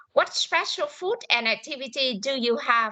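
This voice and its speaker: Her voice is raised and projected, high in pitch with a bright, sharp tone. The woman's intonation is lively. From Vietnam. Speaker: English teacher. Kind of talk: language class, speaking practice.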